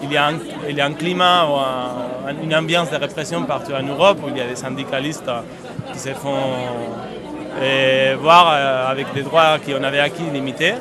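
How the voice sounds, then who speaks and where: With crowd noise behind him and audible room echo, a man with a fairly high pitch speaks at a moderate pace and fairly even intonation, pausing long and often. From Spain. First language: Spanish (speaking French). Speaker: union activist. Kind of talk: street interview. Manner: halting, many repetitions.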